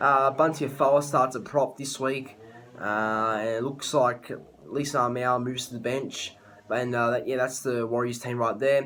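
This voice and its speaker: A man with an Australian accent, medium pitch and fairly even intonation, against noticeable background noise. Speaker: sports tipping youtuber. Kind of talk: casual sports prediction monologue. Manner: fast; halting, many fillers and restarts.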